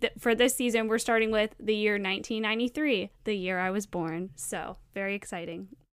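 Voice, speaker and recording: A woman with an unremarkable speaking voice, fairly high pitch, ordinary pitch variation, moderate pace, hardly any pauses, very clean recording with a silent background. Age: 30s. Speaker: podcast co-host. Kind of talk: casual chat.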